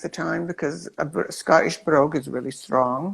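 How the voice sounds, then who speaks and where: A woman speaks at a moderate pace. Vocal fry runs through her voice. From Scotland. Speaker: performer. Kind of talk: interview.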